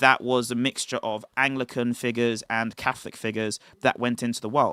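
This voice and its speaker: A man with a British accent speaks at a fairly quick pace in a medium pitch, his tone bright and sharp, his intonation monotone and flat, and the sound dry and close with no echo. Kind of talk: livestream talk. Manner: enunciated.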